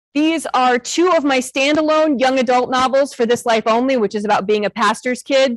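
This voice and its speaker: A woman with a Midwestern American accent talks in a high pitch with ordinary variation. Her loudness stays very even, with hardly any pauses and a dry, close sound with no echo. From northern Illinois. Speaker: author and school librarian. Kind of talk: talk to an audience. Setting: stage with audience. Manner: fast.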